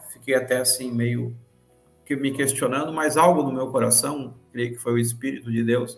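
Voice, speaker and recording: A man talks at a moderate pace and medium pitch, his monotone, flat intonation carrying audible room echo over music in the background. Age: 60s. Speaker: pastor and retired police colonel. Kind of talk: podcast interview testimony. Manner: halting, repeats words.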